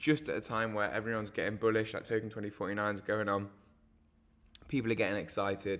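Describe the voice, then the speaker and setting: A man puts on a raspy character voice at a fairly low pitch with fairly even intonation. He talks at a very fast pace against a quiet background. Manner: explanatory.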